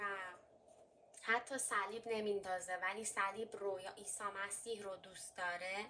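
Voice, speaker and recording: Speaking at a fairly slow pace, a woman with a slight Armenian accent uses a medium pitch and ordinary pitch variation. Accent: slight Armenian accent in Persian. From Armenian heritage. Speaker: fortune teller. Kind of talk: tarot and coffee reading.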